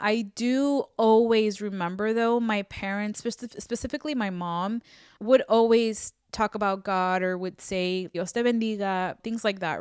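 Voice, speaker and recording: In a Spanish accent, a woman speaks fairly slowly at a fairly high pitch with fairly even intonation, the sound dry and close with no echo and the recording very clean against a silent background. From US, Mexican-American family (moved from Mexico at two). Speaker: faith podcaster. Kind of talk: testimony. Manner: casual, conversational with self-corrections.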